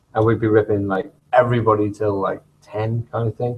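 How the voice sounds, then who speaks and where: A man with a medium pitch and a somewhat breathy voice talks at a fairly quick pace with monotone, flat intonation. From England, Merseyside (Birkenhead). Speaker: shop co-owner and show co-host. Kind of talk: casual chat.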